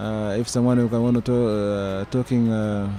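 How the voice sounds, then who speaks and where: Over noticeable background noise, a man with a medium pitch talks at a fairly slow pace with fairly even intonation. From Sudan, Darfur. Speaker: migrant interviewee. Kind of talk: interview. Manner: halting, many hesitations.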